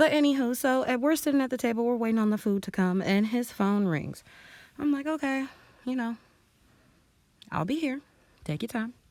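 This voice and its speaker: Loud and animated, a woman talks at a fairly quick pace in a high pitch with lively intonation, broken by long, frequent pauses. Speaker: beauty vlogger. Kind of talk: storytime while doing makeup.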